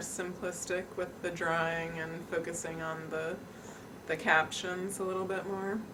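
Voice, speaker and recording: A woman with an American accent speaks in a monotone, flat intonation. Noticeable background noise and audible room echo surround her voice. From New York City. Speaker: daughter of the documentary subject. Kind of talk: interview.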